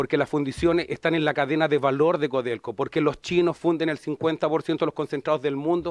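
In a Chilean accent, the speaker keeps a moderate pace and fairly even intonation, with a dry sound with no echo and a quiet background. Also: man. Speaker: union leader. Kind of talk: rally speech, fiery union address to legislators. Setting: legislative committee hearing. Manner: defiant, forceful, emphatic. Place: meeting room. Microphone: podium.

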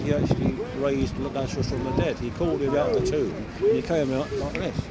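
A man talks fairly quickly while loud background noise fills the clip. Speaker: Baptist street preacher. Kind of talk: evangelising street conversation. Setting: outdoors. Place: street. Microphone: handheld.

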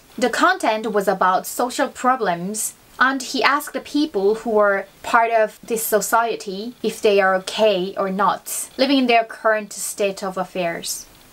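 A woman with a fairly high pitch, talking at a very slow pace. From South Korea. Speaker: YouTuber teaching Korean. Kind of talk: bilingual educational vlog.

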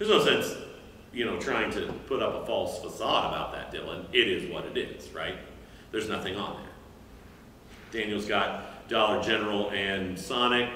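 Audible room echo and light background noise surround a man speaking at a moderate pace. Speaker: teacher. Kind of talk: lecture. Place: stage. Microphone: camera far.

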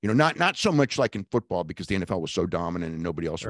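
A man's very deep, low voice at a very fast pace, with very wide pitch swings, dry sound with no echo and a quiet background. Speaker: remote guest, wrestling journalist. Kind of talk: interview answer. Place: home room. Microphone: handheld.

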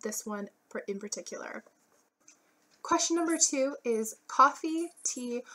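The voice is raised and projected, with a bright, sharp tone, lively intonation and big swings in loudness, moving at a fairly slow pace with long, frequent pauses. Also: woman, high pitch for a woman. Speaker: beauty and lifestyle vlogger. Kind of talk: casual vlog talk.

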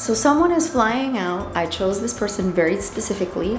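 Noticeable background noise sits under this recording. A woman speaks at a moderate pace. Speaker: bird owner vlogger. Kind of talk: casual vlog chat. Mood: warm, emotional, proud. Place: shop. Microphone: phone near.

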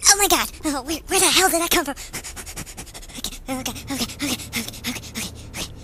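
A high-pitched, cartoonish character voice rushes along at a very fast pace, broken by long, frequent pauses. Clear background noise sits behind it. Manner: panicked, shouting.

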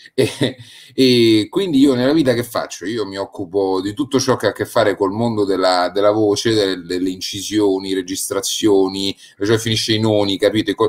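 Using a plain, everyday voice, a man talks at a moderate pace and a fairly low pitch with ordinary pitch variation. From Rome, Italy. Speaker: radio speaker, actor and voice actor. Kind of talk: casual chat. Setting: live stream.

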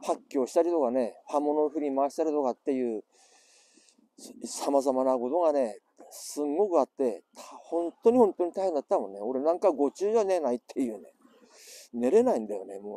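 With an Iwate accent, a man speaks at a moderate pace in a fairly high pitch with very wide swings. His tone is dark and mellow, and the sound is dry and close with no echo. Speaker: survivor of the 2011 earthquake and tsunami. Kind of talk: casual talk to camera.

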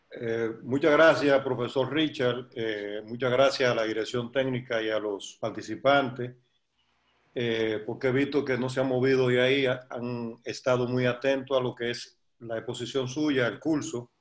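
Speaking fairly slowly, a man in a medium pitch keeps a monotone, flat intonation. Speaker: sports federation president. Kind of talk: welcome speech.

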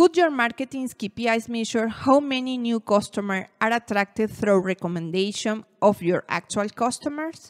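A woman with a Venezuelan accent at a fairly high pitch, lively intonation, moderate pace and hardly any pauses, in a very clean recording with a silent background and dry, close sound with no echo. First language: Spanish. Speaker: marketing educator. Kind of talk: educational talk to camera.

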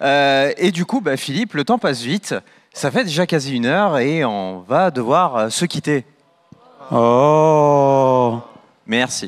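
The intonation is lively, but the pace is very slow. Long pauses come often. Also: man, fairly high pitch for a man. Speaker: event host. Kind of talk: moderated conference. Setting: stage with audience. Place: hall. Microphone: handheld.

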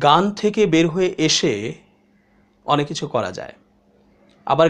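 A man talks with a high pitch. Its variation is ordinary. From Bangladesh. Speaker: online news commentator. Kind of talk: monologue commentary. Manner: measured, pause-filled delivery. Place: studio.

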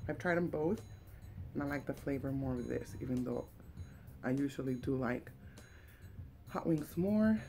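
A woman speaks with faint music in the background. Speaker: food vlogger. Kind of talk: casual vlog chat. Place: home room. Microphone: webcam.

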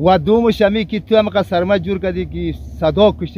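A man's voice comes through with a dry sound, no echo and light background noise. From Afghanistan. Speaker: farmer; interviewee. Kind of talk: interview answer. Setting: outdoors. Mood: aggrieved, pleading complaint. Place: farm.

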